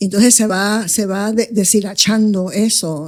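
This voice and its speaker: A woman with a Puerto Rican accent speaks at a fairly slow pace in a medium pitch, her tone dark and mellow, on a very clean recording with a silent background. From Coamo, Puerto Rico and New York City (Bronx). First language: English (speaking Spanish). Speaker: investment advisor, firm founder. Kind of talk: interview conversation.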